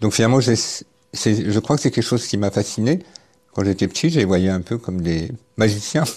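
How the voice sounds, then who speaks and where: A man speaks at a fairly quick pace in a fairly low, dark and mellow voice, leaving long, frequent pauses against a quiet background. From central France, Cher. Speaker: herbalist and wild plant gatherer. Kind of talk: interview testimony. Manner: halting, many hesitations.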